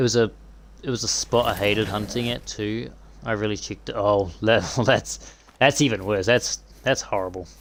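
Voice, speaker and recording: A man talks in a relaxed tone at a fairly low pitch. Vocal fry runs through his voice. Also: ordinary pitch variation, moderate pace. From New Zealand. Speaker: gaming streamer. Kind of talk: live gameplay stream chatting with viewers. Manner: casual, relaxed.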